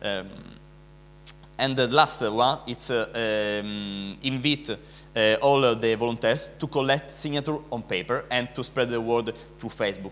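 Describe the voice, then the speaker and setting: In an Italian accent, a man speaks at a fairly slow pace and medium pitch with ordinary pitch variation. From Italy. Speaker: animal rights activist. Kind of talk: conference speech. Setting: conference stage with audience. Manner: halting, many fillers.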